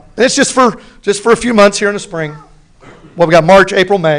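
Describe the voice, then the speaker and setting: Talking at a fairly quick pace, a man sounds animated, with ordinary pitch variation. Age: 50s. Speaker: football coach. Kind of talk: public Q&A at board meeting. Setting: school board meeting with audience.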